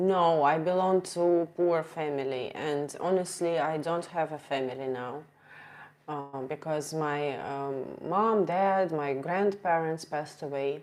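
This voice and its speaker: Speaking at a fairly slow pace, a woman with a strong Russian accent has a very deep, low pitch and ordinary pitch variation. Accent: Russian accent, heavy. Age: 30s. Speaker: streamer. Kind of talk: casual live stream chat. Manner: halting.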